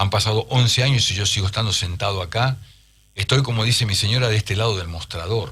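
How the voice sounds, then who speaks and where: A man speaks at a very fast pace in a fairly low pitch. His tone is bright and sharp. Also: ordinary pitch variation. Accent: Rioplatense. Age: 60s. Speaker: urologist. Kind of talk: radio interview. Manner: halting.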